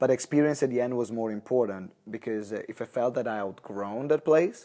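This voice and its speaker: With an Italian accent, this voice has a dark, mellow tone, ordinary pitch variation and a fairly quick pace. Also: man, medium pitch for a man. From Italy, Maranello. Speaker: entrepreneur. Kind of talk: interview. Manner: halting.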